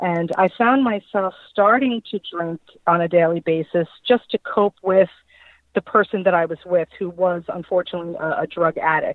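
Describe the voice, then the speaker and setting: At a moderate pace, a woman speaks in a plain, everyday voice with a fairly low pitch and fairly even intonation. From Long Island, New York. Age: 30s. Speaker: guest in recovery from alcohol. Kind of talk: testimony.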